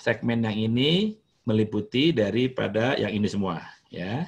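The pace is very slow. A man speaks with lively intonation. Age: 50s. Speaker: hotelier; guest lecturer. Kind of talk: lecture. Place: home room. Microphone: webcam.

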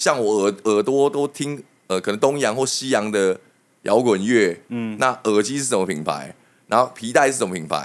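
A man with an ordinary speaking voice talks at a moderate pace, fairly low in pitch, with lively intonation. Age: 30s. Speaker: hairdresser; podcast guest. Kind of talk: casual chat. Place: studio. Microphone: studio mic.

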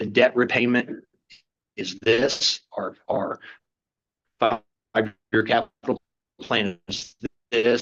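A man talks at a medium pitch in a flat monotone, the sound dry and close with no echo. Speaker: utility company representative. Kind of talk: business presentation. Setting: council meeting. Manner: fast.

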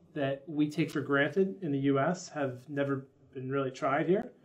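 Speaking in a plain, everyday voice with an American accent, a man keeps a moderate pace, a fairly high pitch and fairly even intonation. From United States. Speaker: dental marketing company founder. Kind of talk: interview. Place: office.

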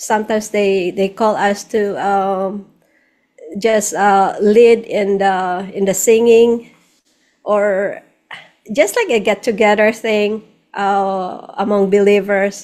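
A woman with a Filipino accent speaks very slowly in a monotone, flat intonation over a quiet background. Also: medium pitch for a woman. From Philippines. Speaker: singer-songwriter, nurse, missionary; interview guest. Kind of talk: interview answer. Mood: warm, grateful. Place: home room. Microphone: studio mic.

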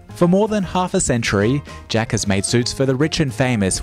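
Music plays in the background as a man talks. His voice is medium in pitch with very wide pitch swings. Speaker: news reporter. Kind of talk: news report narration.

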